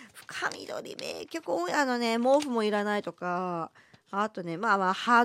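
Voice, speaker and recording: A woman's voice with a dry, close sound and no echo. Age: middle-aged. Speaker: podcast host. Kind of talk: casual chat. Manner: subdued, low energy.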